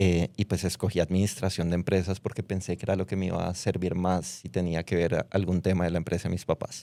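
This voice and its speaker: Very deep and low, a man's dark, mellow voice runs in a monotone, flat intonation. He talks very fast with hardly any pauses. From Colombia, Bogotá. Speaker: fintech founder, former footballer. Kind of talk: interview. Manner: casual, conversational.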